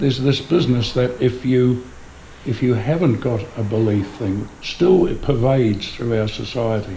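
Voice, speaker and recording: The man keeps a moderate pace as noticeable background noise and audible room echo fill the recording. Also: medium pitch for a man, ordinary pitch variation. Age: 70s. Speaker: humanist celebrant and audience member. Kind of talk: audience comment at a public talk.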